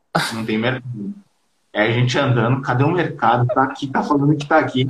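With a plain, everyday voice, a man's fairly high pitch moves with ordinary variation. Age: 20s. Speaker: digital marketing freelancer. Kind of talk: casual live-stream interview. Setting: video call from Brazil.

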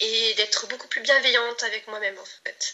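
A woman speaks over noticeable background noise. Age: 30s. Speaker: client giving a testimonial, aspiring entrepreneur. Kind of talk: testimony. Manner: halting, many hesitations and repetitions.

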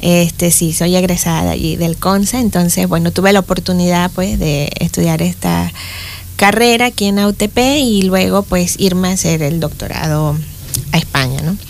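A woman talks at a moderate pace with very even loudness. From Panama, Boquete (Chiriquí). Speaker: engineering professor. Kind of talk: interview.

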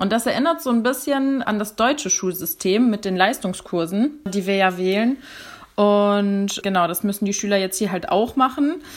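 A woman's unremarkable speaking voice, medium in pitch, with lively intonation and a moderate pace. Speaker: German teacher. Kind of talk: casual explanation.

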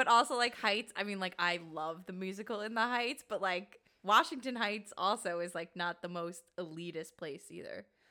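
A woman with an American accent speaks in an unremarkable speaking voice, at medium pitch and a moderate pace, with ordinary pitch variation and hardly any pauses. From New York City, Queens (College Point). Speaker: podcast co-host. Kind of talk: casual chat.

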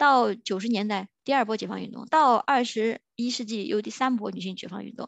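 At a fairly quick pace and with hardly any pauses, an animated voice moves through big swings in loudness and ordinary pitch variation, heard with a dry, close sound with no echo against a quiet background. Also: woman, fairly high pitch for a woman. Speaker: podcast host. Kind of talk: solo monologue rant. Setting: recording at work during lunch break.

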